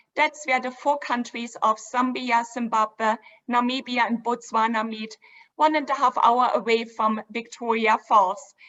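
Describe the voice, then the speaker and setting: Fairly high-pitched woman's voice with a German accent, fairly even intonation and a fairly slow pace. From Germany, Dresden. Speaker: river cruise company co-founder. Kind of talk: virtual event presentation.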